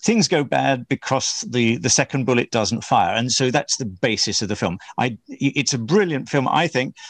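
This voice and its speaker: A normal speaking voice from a man, medium in pitch with lively intonation, dry and close with no echo, over a quiet background. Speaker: podcast host. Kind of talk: interview.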